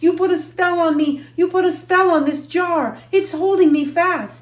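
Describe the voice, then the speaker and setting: The voice is a put-on character. It climbs to an extremely high pitch. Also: moderate pace. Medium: read story. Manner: shouting.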